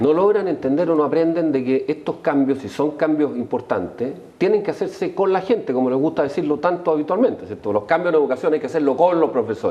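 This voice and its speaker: Fairly high in pitch, a man speaks at a very fast pace with lively intonation. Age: 60s. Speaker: political panelist. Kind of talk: heated debate. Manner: animated.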